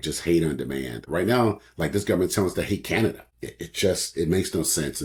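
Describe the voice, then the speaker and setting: A man with an American accent talks at a fairly quick pace, with vocal fry in his voice. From Oakland, California. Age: 60s. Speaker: author and publisher. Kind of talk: interview conversation.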